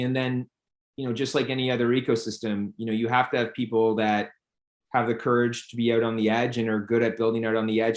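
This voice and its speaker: This man talks very fast at a medium pitch, his intonation flat and monotone. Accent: Canadian. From Canada, Toronto. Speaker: company founder and CEO. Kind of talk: interview. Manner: many fillers and repetitions.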